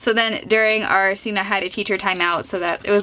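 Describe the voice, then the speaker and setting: A woman talks at a fairly quick pace with a medium pitch. Noticeable background noise is present. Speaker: beauty vlogger. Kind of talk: tutorial; casual chat. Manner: chatty.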